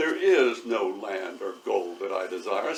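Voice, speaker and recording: A man puts on a booming character voice. He delivers it at a fairly slow pace. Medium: read story. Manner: menacing.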